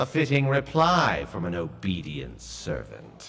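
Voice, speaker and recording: A man puts on a character voice with a very deep, low pitch and very wide pitch swings. He goes at a fairly slow pace. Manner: grave, ominous.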